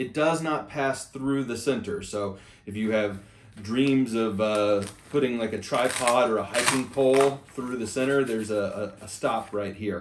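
Light background noise sits behind a man speaking. He keeps a moderate pace with ordinary pitch variation. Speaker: bag reviewer. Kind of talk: product review walkthrough. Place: home room.

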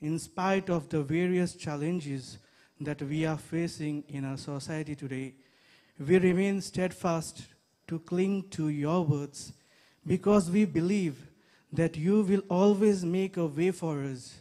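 A man speaks at a high pitch in a dark, mellow tone, at a fairly slow pace. His pitch varies in an ordinary way over a quiet background. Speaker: priest leading prayer. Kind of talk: prayer. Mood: solemn, calm. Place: open country. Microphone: handheld.

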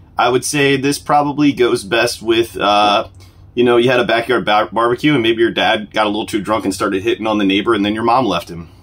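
The speech moves at a very fast pace. It comes with a Southern US accent. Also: man, medium pitch for a man, ordinary pitch variation. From South Mississippi. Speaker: online video host. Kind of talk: casual product review. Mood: deadpan sarcastic humor. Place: home room. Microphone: phone near.

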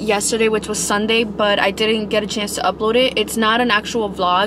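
Talking at a fairly quick pace, a woman is heard over noticeable background noise in a dry recording with no echo. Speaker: vlogger. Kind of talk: casual vlog chat. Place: car.

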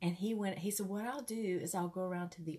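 Somewhat breathy, a woman's voice moves along at a moderate speed. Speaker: ministry host sharing a testimony. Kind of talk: casual storytelling sermon. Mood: warm, conversational. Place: home room. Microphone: earbuds.

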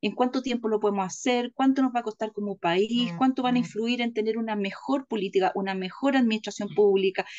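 A woman talks at a fairly quick pace with a fairly high pitch and ordinary pitch variation. Light background noise can be heard. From Chile. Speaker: political commentator. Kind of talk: political discussion. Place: home room. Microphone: webcam.

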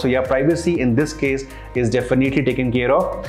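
A man at a fairly quick pace with ordinary pitch variation, faint music in the background. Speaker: tech reviewer. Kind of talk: product review. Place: studio. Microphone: lapel.

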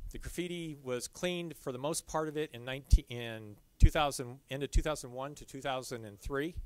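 A man at a moderate pace, with a dry sound and no echo. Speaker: presenter. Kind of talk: lecture. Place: hall.

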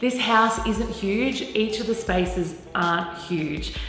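A woman talks with ordinary pitch variation over faint music in the background and audible room echo. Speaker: presenter. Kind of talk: presenter talk to camera. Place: home room.

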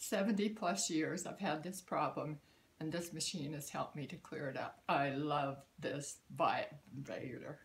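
Somewhat breathy, the voice shows ordinary pitch variation. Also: woman, very deep, low pitch for a woman, fairly slow pace. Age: 80s+. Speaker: customer giving a product testimonial. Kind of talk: testimonial talk to camera. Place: home room. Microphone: phone near.

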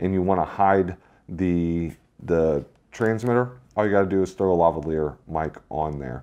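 With a very deep, low pitch and a dark, mellow tone, a man speaks at a moderate pace. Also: ordinary pitch variation. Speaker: gear reviewer. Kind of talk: product review and sound test. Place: studio. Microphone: lapel.

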